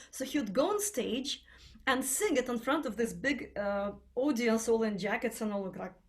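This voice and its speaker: A woman's fairly high voice with a Russian accent. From Russia (Tatarstan, Kazan). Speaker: singer and choir teacher. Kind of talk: interview.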